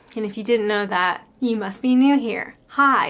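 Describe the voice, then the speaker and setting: The speaker talks at a moderate pace with a Canadian accent. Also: woman. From Canada. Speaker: YouTuber. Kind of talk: casual vlog monologue. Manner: animated.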